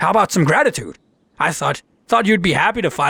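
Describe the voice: Over a quiet background comes plain reading aloud.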